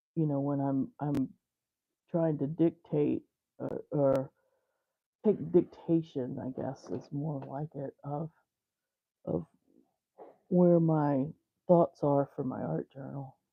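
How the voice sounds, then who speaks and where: Mumbled speech in an American accent at a very slow pace, broken by long, frequent pauses. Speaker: fiber artist. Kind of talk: live art tutorial chat. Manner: mumbling; casual, rambling with fillers.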